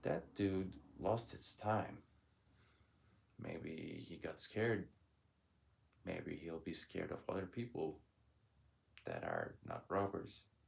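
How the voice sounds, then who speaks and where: Long, frequent pauses mark a man's speech at a very slow pace. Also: fairly low pitch for a man, ordinary pitch variation. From Turkey. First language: Turkish. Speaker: vlogger. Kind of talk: casual monologue. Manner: loud.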